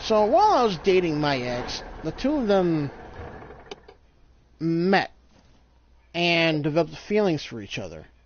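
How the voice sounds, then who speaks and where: The speaker goes at a fairly slow pace with long, frequent pauses. Noticeable background noise is present. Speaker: gamer streamer. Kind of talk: casual chat. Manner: stuttering; halting.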